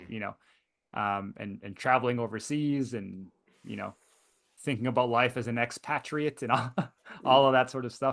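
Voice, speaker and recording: Against a quiet background, a man with a North American accent speaks in a fairly even intonation. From Canada. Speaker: high school economics teacher and seminar host. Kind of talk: online seminar interview. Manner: hesitant, many fillers and repetitions.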